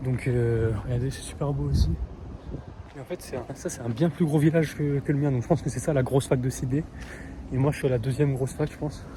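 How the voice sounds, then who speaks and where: With noticeable background noise, a man speaks at a medium pitch and a fairly quick pace. His intonation is fairly even, with long, frequent pauses. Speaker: vlogger, exchange student. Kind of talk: travel vlog. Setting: outdoors. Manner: casual, hesitant.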